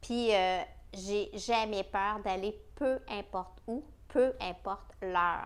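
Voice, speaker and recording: A woman's medium-pitched voice in a Quebec accent, with ordinary pitch variation. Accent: Québécois French. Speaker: travel podcaster. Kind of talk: casual travel podcast monologue. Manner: animated.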